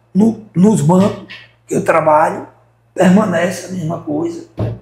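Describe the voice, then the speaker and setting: A man speaks in an animated tone. His pace is fairly slow. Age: 60s. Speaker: shop owner, businessman. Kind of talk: interview. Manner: animated, repetitive.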